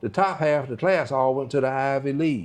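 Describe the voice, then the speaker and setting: A man with a North Carolina accent speaks at a moderate pace. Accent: Southern US (North Carolina). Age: 70s. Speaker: retired doctor. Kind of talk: interview.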